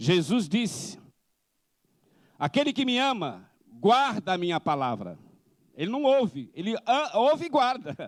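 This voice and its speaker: In a very clean recording with a silent background, a man with a high pitch speaks at a fairly slow pace, his voice making very wide pitch swings between long, frequent pauses. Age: 60s. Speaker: missionary preacher. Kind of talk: sermon.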